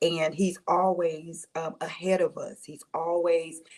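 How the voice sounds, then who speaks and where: A woman speaks quietly at a fairly low pitch. Her pace is very slow. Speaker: online devotional host. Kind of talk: live-stream devotional talk. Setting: live stream away from home during power outage. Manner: quiet, talking low; preachy, call-and-response.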